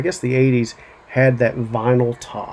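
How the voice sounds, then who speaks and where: Noticeable background noise accompanies a man speaking at a medium pitch and a moderate pace. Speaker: livestream show host. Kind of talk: casual livestream chat.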